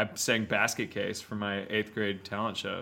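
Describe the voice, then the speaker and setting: A man with an American accent has a bright, sharp tone and a fairly low pitch. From Texas (Houston). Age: 30s. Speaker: country singer-songwriter. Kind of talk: casual interview chat.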